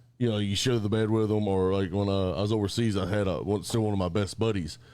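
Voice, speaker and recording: A man's fairly low voice at a very fast pace, fairly even intonation and very even loudness, with audible room echo. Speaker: military veteran. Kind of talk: casual chat.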